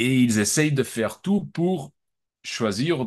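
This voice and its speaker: Over a quiet background, a man of medium pitch speaks with very wide pitch swings. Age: 40s. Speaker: art dealer. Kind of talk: interview. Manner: halting, many repetitions.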